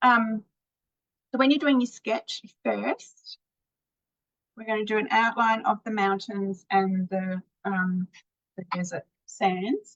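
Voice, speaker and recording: A woman's fairly high, somewhat breathy voice at a very slow pace, with ordinary pitch variation and long, frequent pauses. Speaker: painting teacher. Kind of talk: tutorial. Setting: live video stream.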